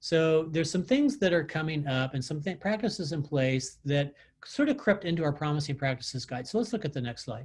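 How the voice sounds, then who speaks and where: This man speaks in a fairly high pitch with lively intonation. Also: fairly quick pace. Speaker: transit technical assistance presenter. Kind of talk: webinar presentation. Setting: video call. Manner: fast.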